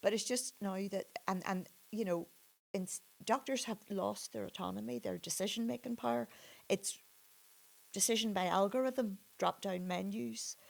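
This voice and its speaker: In a Northern Irish accent, a woman talks at a moderate pace and medium pitch with very wide pitch swings and long, frequent pauses. The recording is very clean, with a silent background. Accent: Derry Northern Irish. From Northern Ireland, Derry. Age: 60s. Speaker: suspended doctor. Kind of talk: interview conversation. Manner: halting, many repetitions.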